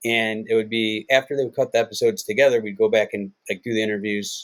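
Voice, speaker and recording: A man with an American accent talks at a fairly quick pace. The sound is dry and close, with no echo. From US Midwest, Cleveland, Ohio. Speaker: television executive producer. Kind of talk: casual chat. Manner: animated storytelling.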